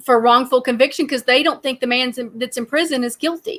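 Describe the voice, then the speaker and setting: A woman with a strong Southern US accent speaks in a bright, sharp tone with ordinary pitch variation, recorded very cleanly against a silent background. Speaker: true crime podcast host. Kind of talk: casual chat.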